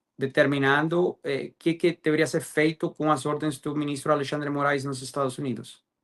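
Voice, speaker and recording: A man's voice, fairly high in pitch. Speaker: lawyer. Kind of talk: interview. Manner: halting, many fillers.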